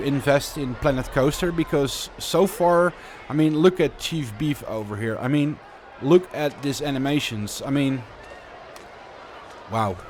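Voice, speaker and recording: A man's fairly high voice in a Dutch accent at a moderate pace, with noticeable background noise. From Netherlands. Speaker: video game streamer. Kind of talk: live gameplay commentary. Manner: casual, halting with repetitions.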